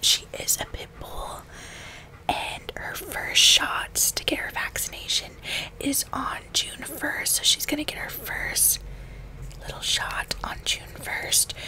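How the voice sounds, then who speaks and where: A soft-spoken woman whispers at a very slow pace. Light background noise can be heard. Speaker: video creator. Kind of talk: casual chit chat vlog, ASMR-like. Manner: soft close ASMR whisper. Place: home room. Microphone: studio mic.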